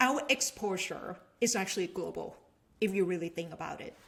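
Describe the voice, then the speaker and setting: A woman speaks with a Thai accent at a medium pitch. Her tone is bright and sharp, and her pitch varies in an ordinary way. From Thailand, Bangkok. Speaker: venture capitalist and business professor. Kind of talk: casual chat.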